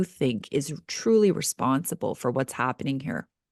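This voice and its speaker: In a dry, close sound with no echo and a quiet background, a woman with an unremarkable speaking voice talks at a fairly slow pace with lively intonation. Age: 40s. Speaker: podcast host. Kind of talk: podcast interview.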